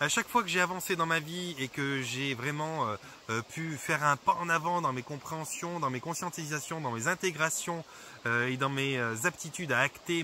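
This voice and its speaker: Fairly high male pitch and lively intonation from a man. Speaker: holistic therapist. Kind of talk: vlog monologue. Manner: fast; hesitant, many fillers.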